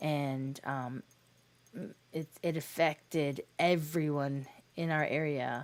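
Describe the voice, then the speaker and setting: This woman's voice sits very deep and low in pitch. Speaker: video game streamer. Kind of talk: casual chat. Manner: loud when passionate; halting.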